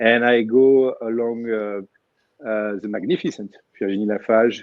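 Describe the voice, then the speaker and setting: Spoken with monotone, flat intonation, the voice carries a French accent. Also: man. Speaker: spine surgeon. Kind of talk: panel discussion. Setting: livestream. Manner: halting.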